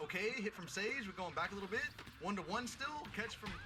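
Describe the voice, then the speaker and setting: A man is speaking. Music plays in the background. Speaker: esports game commentator. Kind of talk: live game commentary. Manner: fast, excited play-by-play.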